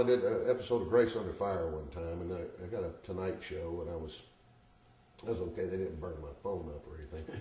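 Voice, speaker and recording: A man speaks at a fairly quick pace with a Southern US accent, with audible room echo and noticeable background noise. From US South. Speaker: stand-up comedian. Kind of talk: interview.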